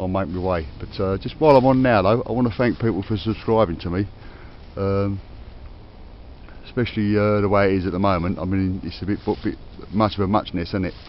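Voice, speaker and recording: Speaking with a Cockney accent, a man with a fairly low pitch talks at a fairly quick pace, broken by long, frequent pauses. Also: ordinary pitch variation. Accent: Cockney London English. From London (Cockney). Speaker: metal detecting vlogger. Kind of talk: casual outdoor vlog commentary. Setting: outdoors in a forest. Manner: hesitant, many fillers.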